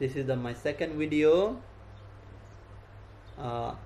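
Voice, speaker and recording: A man talks in a Nepali accent with ordinary pitch variation. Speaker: Buddhist monk. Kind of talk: dharma talk. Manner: halting.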